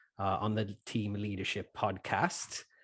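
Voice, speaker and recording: A man with a Welsh accent speaking at a very slow pace. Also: quiet background. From Wales. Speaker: podcast co-host and church planter. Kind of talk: interview intro, casual. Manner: halting, many fillers.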